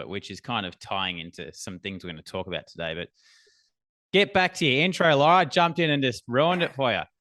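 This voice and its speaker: The voice has an Australian accent. Its pitch swings very widely. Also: man. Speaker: business and sales coach. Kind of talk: podcast interview. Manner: laughing.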